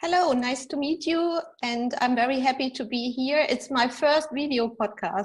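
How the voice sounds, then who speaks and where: The speaker moves at a moderate pace with ordinary pitch variation and hardly any pauses. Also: woman, high pitch for a woman. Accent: German. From Germany. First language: German. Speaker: executive coach and author. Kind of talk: interview. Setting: video podcast.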